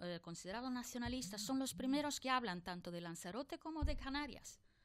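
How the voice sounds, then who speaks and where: A woman is talking. Her intonation is lively. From outside Spain. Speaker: politician. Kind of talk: political debate.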